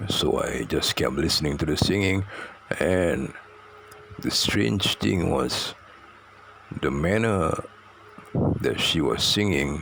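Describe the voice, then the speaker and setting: Noticeable background noise surrounds a man who talks at a very slow pace. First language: Malay. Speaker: storyteller. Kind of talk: personal storytelling. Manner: halting, many fillers and repetitions.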